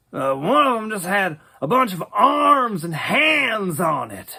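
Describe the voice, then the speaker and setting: A man uses a high-pitched, put-on character voice, raised and projected. Very wide pitch swings come at a fairly slow pace. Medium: audio drama. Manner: rambling, casual, many hesitations.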